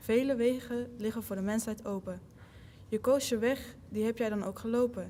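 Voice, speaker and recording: A woman with a Dutch accent speaks at a moderate pace in a dark, mellow tone. Her pitch is fairly high and her intonation fairly even. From Netherlands. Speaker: college basketball player. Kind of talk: reading aloud.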